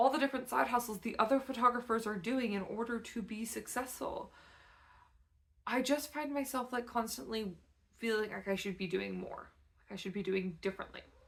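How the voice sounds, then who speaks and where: A woman talks at a fairly quick pace with vocal fry. Her pitch is fairly high, with ordinary variation. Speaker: photographer and artist. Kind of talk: casual vlog talk to camera.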